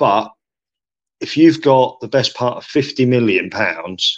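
Here a man speaks with an English accent. His pace is very slow. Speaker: sports podcast co-host. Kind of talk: casual chat.

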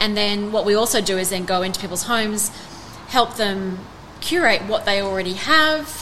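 A woman with an Australian accent speaks at a moderate pace and medium pitch with ordinary pitch variation, amid noticeable background noise and audible room echo. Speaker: art gallery owner. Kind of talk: interview. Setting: in a gallery.

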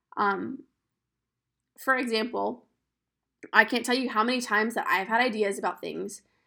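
A woman speaks with a fairly high pitch, a bright, sharp tone and vocal fry, her intonation fairly even. Long, frequent pauses break her speech on a very clean recording with a silent background. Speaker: podcast host. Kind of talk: solo podcast monologue. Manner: casual, conversational.

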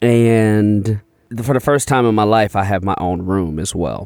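In a normal speaking voice with an American accent and ordinary pitch variation, the speaker goes at a fairly slow pace on a very clean recording with a silent background. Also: man, dry, close sound with no echo. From Chicago. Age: 30s. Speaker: comedian. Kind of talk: casual chat.

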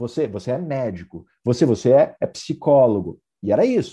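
Very wide pitch swings in a man's dark, mellow tone. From southern Brazil, Vacaria (Rio Grande do Sul). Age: 30s. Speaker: entrepreneur and author. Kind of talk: interview.

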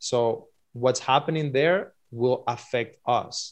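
Here a man talks with a Spanish accent. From Cuba. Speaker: filmmaker. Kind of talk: interview.

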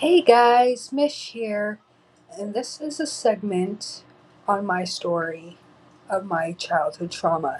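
A woman with a medium-pitched, somewhat breathy voice talks at a very slow pace with very wide pitch swings. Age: 30s. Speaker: podcast host. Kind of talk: personal storytelling.

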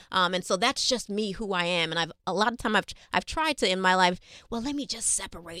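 In a New York accent, a woman with a medium pitch and a bright, sharp tone talks at a very fast pace with lively intonation, recorded very cleanly against a silent background. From New York City. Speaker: health educator. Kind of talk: interview.

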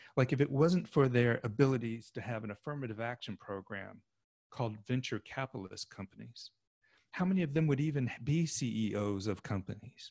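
With an American accent, a normal speaking voice moves at a fairly quick pace with ordinary pitch variation. The sound is dry and close, with no echo. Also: man, medium pitch for a man. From Oklahoma. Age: 50s. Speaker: sociologist. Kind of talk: casual chat.

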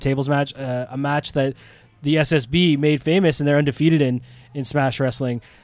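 A man with a Canadian accent talks at a fairly quick pace over music in the background. His voice is fairly high, with a monotone, flat intonation. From Ontario, Canada. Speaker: wrestling promoter. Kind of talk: casual chat.

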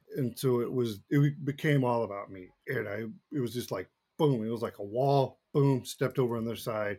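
The speaker has an American accent and a dark, mellow tone, talking at a fairly quick pace with ordinary pitch variation and big swings in loudness. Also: man. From Texas, Dallas area. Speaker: firefighter and former baseball player. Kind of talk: interview testimony.

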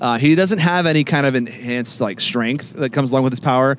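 A man with an American accent talks at a very fast pace, using a medium pitch and ordinary pitch variation. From California. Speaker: podcast co-host. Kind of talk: casual chat.

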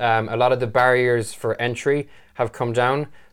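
Monotone, flat male speech in a very clean recording with a silent background. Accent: Irish. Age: 20s. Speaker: web designer. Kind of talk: casual chat.

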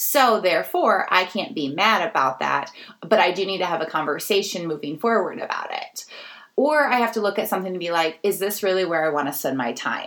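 Speaking at a fairly quick pace, a woman with an unremarkable speaking voice and medium pitch uses lively intonation. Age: 30s. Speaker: podcast host and nonprofit founder. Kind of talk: solo podcast monologue.

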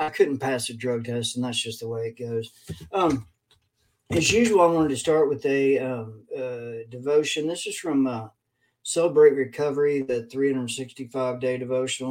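A man in a Kentucky accent, medium-pitched, at a moderate pace with fairly even intonation. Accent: Kentucky Southern US. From Kentucky, Lexington. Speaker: addiction recovery speaker. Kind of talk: casual talk to online viewers. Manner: halting with fillers.

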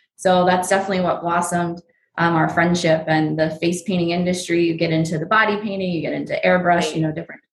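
A woman with an American accent talks at a very fast pace in a monotone, flat intonation. Her voice is fairly low in pitch and somewhat breathy. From New Jersey and Pennsylvania, US. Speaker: face painter and airbrush tattoo business owner. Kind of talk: casual interview.

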